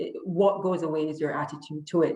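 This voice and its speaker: The speaker talks at a moderate pace with a Jamaican accent. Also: woman. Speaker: lawyer. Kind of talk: interview.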